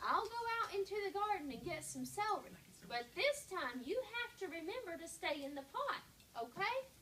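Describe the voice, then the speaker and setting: Against clear background noise, a woman uses a put-on character voice at an extremely high pitch, with very wide pitch swings and a moderate pace. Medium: read story. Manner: earnest, self-satisfied.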